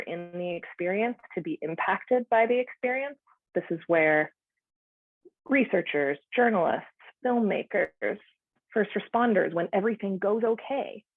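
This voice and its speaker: A woman speaks at a moderate pace in a medium pitch. She has a plain, everyday voice. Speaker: outdoor educator and counsellor. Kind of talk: presentation.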